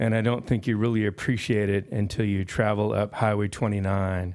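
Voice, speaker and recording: A man with a normal speaking voice, fairly low pitch, fairly even intonation and a moderate pace. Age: 60s. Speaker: public commenter at county meeting. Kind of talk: public comment speech.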